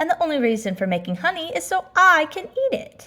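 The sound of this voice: A woman puts on a character voice with a bright, sharp tone, high pitch, big pitch swings and a fairly quick pace.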